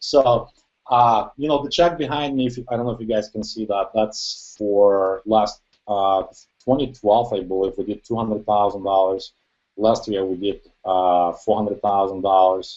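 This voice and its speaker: A man talks at a moderate pace in a fairly low pitch, with a non-native accent. His pitch varies in an ordinary way. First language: not English. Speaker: online marketer. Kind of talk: testimony.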